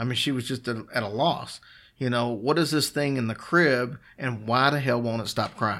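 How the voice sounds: A reading voice that sounds natural.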